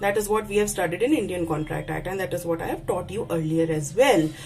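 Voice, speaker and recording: A woman speaks fairly quickly, her voice carrying audible room echo against noticeable background noise. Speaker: university lecturer. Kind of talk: lecture. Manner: halting, self-correcting.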